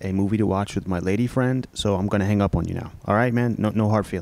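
A man with a plain, everyday voice talks at a fairly low pitch with fairly even intonation, and the sound is dry with no echo. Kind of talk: annoyed phone conversation.

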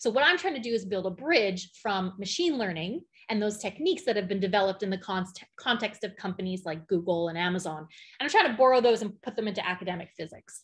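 Against a quiet background, a woman with a Canadian accent talks very fast, her voice somewhat breathy and her intonation lively. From Canadian prairies, Alberta. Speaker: physicist. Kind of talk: conference talk. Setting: video call. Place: home room. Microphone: webcam.

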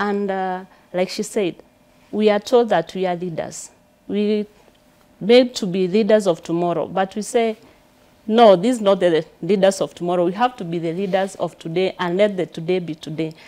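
A woman's medium-pitched voice in a Kenyan accent, at a moderate pace with fairly even intonation. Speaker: political candidate. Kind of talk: studio interview. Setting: studio. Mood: animated, smiling, confident. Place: studio.

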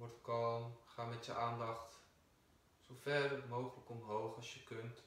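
A man talks at a very slow pace in a calm, soothing tone, his intonation monotone and flat while his loudness swings widely, with audible room echo around him. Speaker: yoga teacher. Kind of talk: guided meditation. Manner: slow, calm, soothing; soft-spoken, measured. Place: empty room. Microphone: camera far.

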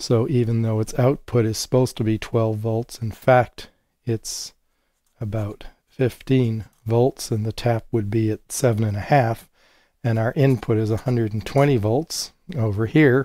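Fairly low male voice, dark and mellow in tone, at a fairly slow pace with fairly even intonation

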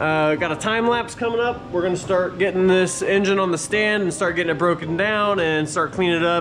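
A man's high-pitched voice at a moderate pace with ordinary pitch variation over faint music in the background. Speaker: home mechanic vlogger. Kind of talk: casual vlog chat. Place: garage. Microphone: phone near.

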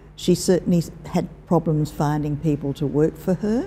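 In an Australian accent, a woman speaks with a very deep, low pitch, a dark, mellow tone, vocal fry and fairly even intonation. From Perth, Western Australia. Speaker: retired teacher and corporate librarian. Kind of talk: oral history interview.

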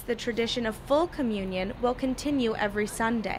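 Noticeable background noise sits behind a woman speaking at a high pitch. She talks at a fairly quick pace with ordinary pitch variation. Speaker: news reporter. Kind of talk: news reading, scripted TV-style report voiceover, polished and even. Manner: formal, measured, steady broadcast delivery.

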